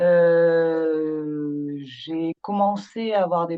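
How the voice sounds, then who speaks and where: Fairly low in pitch, a woman talks with fairly even intonation. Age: 40s. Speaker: patient association founder. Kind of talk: interview.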